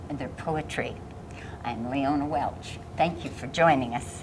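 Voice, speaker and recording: A woman with an American accent speaks at a fairly slow pace, with audible room echo and noticeable background noise. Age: old. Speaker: poetry program host. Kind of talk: interview.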